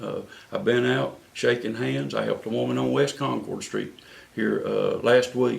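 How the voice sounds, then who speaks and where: A man with a North Carolina accent, recorded with audible room echo and noticeable background noise. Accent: Southern US (North Carolina). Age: 60s. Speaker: city council candidate. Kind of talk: interview. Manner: halting, many fillers and repeats.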